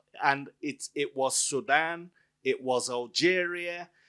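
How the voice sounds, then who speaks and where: A man with a high pitch is heard on a very clean recording with a silent background. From Nigeria. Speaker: author and academic. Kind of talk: book event Q&A. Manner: loud.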